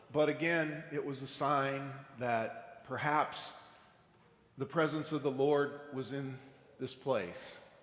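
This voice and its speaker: At a very slow pace, a man speaks at a fairly high pitch, with audible room echo around him. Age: 60s. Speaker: astronaut. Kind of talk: testimony. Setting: church.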